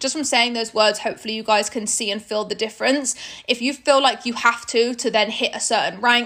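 A woman in a British accent, high-pitched and animated, at a fairly quick pace. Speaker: network marketing leader and podcast host. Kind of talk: corporate training talk. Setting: recorded video call training. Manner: fast.

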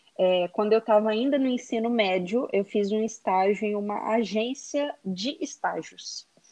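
A woman with an unremarkable speaking voice talks at a fairly high pitch with ordinary pitch variation. Her pace is fairly slow, with hardly any pauses. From Brazil, Belo Horizonte, Minas Gerais. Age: 30s. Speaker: digital influencer, former HR psychologist. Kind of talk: podcast interview.

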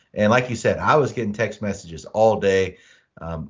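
A man in an ordinary speaking voice, moderate pace, and fairly even intonation. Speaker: sports podcast co-host. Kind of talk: casual sports chat. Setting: video call.

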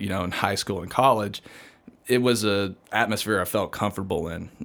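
This man speaks with a Southern US accent, his pitch fairly low and his intonation fairly even. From US South, Georgia. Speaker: missionary and seminary student. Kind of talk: casual interview chat.

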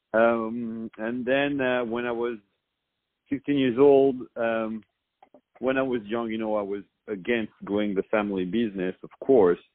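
A man with a French accent, fairly slow and fairly even in intonation. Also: medium pitch for a man. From France. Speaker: restaurant owner. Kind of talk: interview.

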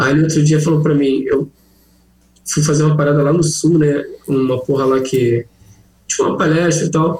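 At a moderate pace, a man with a fairly high, somewhat breathy voice speaks in monotone, flat intonation at very even loudness, with long, frequent pauses. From Rio de Janeiro, Brazil. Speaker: cannabis humor content creator. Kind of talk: casual chat. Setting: video call.

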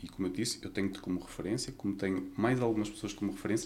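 His delivery comes very fast. This man's pitch moves in an ordinary way. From Portugal, Vila Nova de Gaia (Porto area). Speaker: nurse. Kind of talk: interview.

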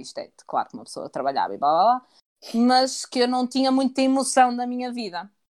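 The recording is very clean, with a silent background. The voice belongs to a woman. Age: 20s. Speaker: podcast co-host. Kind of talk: casual chat.

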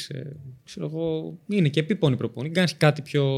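A normal speaking voice keeps a fairly quick pace, its pitch varying in an ordinary way. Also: man. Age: 20s. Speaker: Paralympic athlete and personal trainer. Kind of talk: interview.

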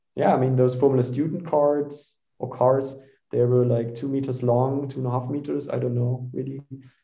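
This man has a German accent and a medium pitch. His intonation is monotone and flat, at a moderate pace. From Germany. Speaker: startup founder and CEO. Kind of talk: casual interview. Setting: video call.

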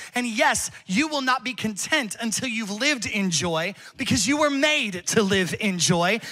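Through noticeable background noise, a man with a high pitch speaks at a fairly slow pace in a raised, projected voice, passionate and animated, with lively intonation. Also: hardly any pauses. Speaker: pastor. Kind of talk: sermon. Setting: church with live congregation. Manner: passionate, building to a fiery, exhorting call to worship.

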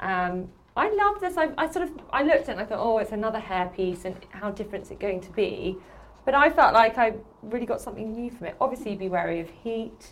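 A woman's very fast, fairly high-pitched speech in a southern English accent, with lively intonation and big swings in loudness. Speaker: podcast host. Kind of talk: casual chat.

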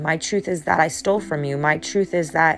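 Over noticeable background noise, a woman talks at a moderate pace with a fairly low pitch and ordinary pitch variation. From New Hampshire. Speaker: podcast host and life coach. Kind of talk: solo motivational talk. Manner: halting, repeats words.

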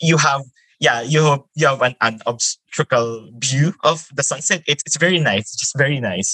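With a Filipino accent, a man speaks at a moderate pace in a fairly high pitch with a bright, sharp tone and ordinary pitch variation, the sound dry and close with no echo. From Philippines, Metro Manila. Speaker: environmental volunteer. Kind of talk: casual interview. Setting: remote call.

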